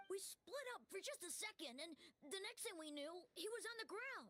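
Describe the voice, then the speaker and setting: This is a put-on character voice at an extremely high pitch. It moves at a moderate pace. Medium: video game. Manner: nervous.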